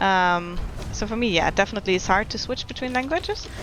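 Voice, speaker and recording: A woman speaks with a German accent. Noticeable background noise runs under her voice. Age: 20s. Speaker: video game streamer. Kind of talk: casual chat. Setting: live stream.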